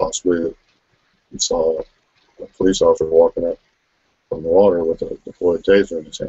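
A man is talking. He keeps a moderate pace. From Buffalo, New York, US; New York. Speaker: video podcast host. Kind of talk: casual live webcast chat. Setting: home, live video stream. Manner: halting, many fillers. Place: home room. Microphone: webcam.

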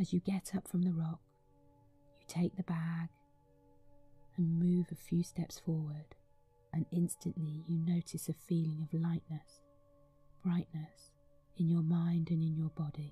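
Over background music, a woman with a fairly low pitch talks fairly slowly and flatly in a monotone, leaving long, frequent pauses as her loudness swings widely, the sound dry and close with no echo. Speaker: meditation guide. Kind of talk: guided meditation. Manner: slow, soft-spoken.

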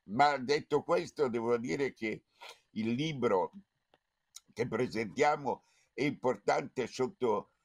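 A man's very slow, quiet-backed delivery with vocal fry, lively intonation, big swings in loudness, and long, frequent pauses. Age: 80s+. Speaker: foundation president; event host giving introductory remarks. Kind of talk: speech. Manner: halting. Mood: grave, reflective. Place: home room. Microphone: webcam.

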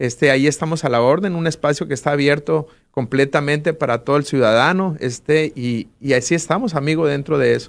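Hardly pausing, a man talks at a fairly quick pace in a fairly high voice with ordinary pitch variation. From Sinaloa, Mexico. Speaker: political candidate, lawyer; candidate. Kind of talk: interview; interview answer. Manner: hesitant, many filler words. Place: studio. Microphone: studio mic.

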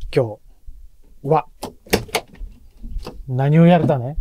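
Noticeable background noise is present, and the sound stays dry with no echo. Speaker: vlog narrator, family member. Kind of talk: casual vlog narration and chat. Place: home room. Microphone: phone near.

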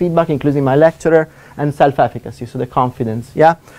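A man talks at a very fast pace with an Italian accent. His tone is dark and mellow. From Italy. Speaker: economics lecturer. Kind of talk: seminar talk. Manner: fast talker; hesitant, many fillers. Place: classroom.

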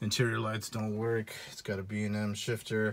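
Noticeable background noise beneath fairly slow talking. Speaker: car owner showing his car. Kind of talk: casual video tour. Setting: garage. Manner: casual, profane.

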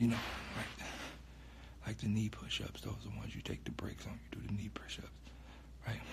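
A man is whispering. His pace is fairly quick. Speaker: livestreamer. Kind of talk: casual livestream chat. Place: home room. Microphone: phone near.

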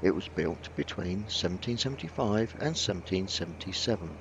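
A man speaks in a somewhat breathy voice. The sound is dry with no echo, over noticeable background noise. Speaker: vlog narrator. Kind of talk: informational voice-over narration.

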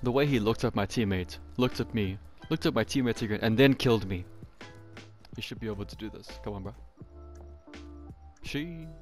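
Over background music, a man with a fairly low pitch speaks at a fairly quick pace with lively intonation and long, frequent pauses. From South Africa. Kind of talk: casual gameplay commentary. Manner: upbeat, joking.

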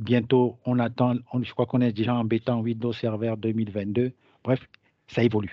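A man with a medium pitch talks at a fairly slow pace. His intonation stays monotone and flat. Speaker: digital transformation consultant. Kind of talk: webinar presentation. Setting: online webinar.

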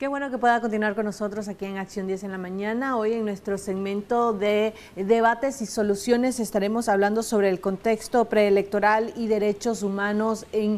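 A woman talks in a normal speaking voice at a moderate pace. Her pitch is fairly high and her intonation fairly even. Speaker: morning show co-host; TV show host. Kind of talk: news presenting and interviewing. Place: studio.

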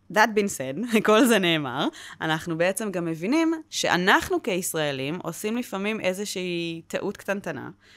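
An animated voice at a moderate pace, with very wide pitch swings. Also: woman. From Israel, Wadi Ara; Israel. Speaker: public diplomacy trainer at a nonprofit. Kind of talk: interview. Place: studio. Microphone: studio mic.

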